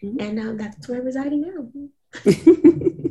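A somewhat breathy woman at a moderate pace, with an American accent. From US South, Atlanta area, Georgia. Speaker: R&B singer. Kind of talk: interview.

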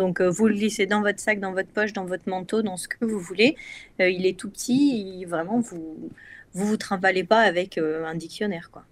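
In a very clean recording with a silent background, a woman with an unremarkable speaking voice and medium pitch talks at a moderate pace, her loudness swinging widely. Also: ordinary pitch variation. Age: 30s. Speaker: neuroscience researcher. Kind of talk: casual chat.

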